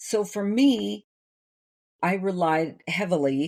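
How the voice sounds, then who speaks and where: With an American accent, a woman speaks in a dark, mellow tone. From US Midwest, Iowa. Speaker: novelist, former opera singer. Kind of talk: casual interview chat. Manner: clear diction.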